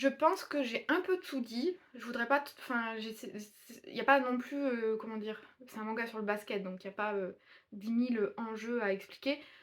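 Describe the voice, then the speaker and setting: Her loudness swinging widely, a woman speaks at a fairly high pitch with ordinary pitch variation. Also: moderate pace. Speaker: booktuber reviewing manga. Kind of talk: casual video review. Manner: mumbling, not clearly articulated.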